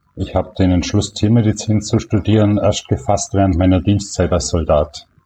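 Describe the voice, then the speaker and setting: A man's plain, everyday voice at a fairly low pitch, with ordinary pitch variation and a moderate pace. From Allgäu, Bavaria, southern Germany. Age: 60s. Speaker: veterinarian and blogger. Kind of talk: interview.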